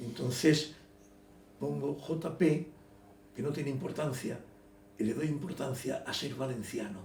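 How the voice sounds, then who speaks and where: There is audible room echo as a man with a fairly high pitch and vocal fry speaks with long, frequent pauses. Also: ordinary pitch variation, fairly slow pace. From Elche, Valencian Community, Spain. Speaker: writer. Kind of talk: interview. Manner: halting, repetitive.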